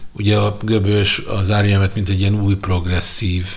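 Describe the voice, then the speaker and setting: Very slow speech with audible room echo. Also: man. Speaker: podcast host and music journalist. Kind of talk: casual chat about music.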